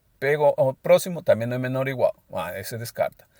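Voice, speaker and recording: Captured in a very clean, dry, close recording with a silent background and no echo, a man talks at a fairly quick pace. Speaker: math lecturer. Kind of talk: lecture. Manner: hesitant, with repeated filler words.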